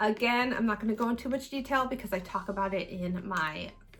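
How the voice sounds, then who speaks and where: The delivery comes at a fairly quick pace with ordinary pitch variation. The voice sounds somewhat breathy. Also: woman. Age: 30s. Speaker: beauty vlogger. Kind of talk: casual chat. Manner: fast.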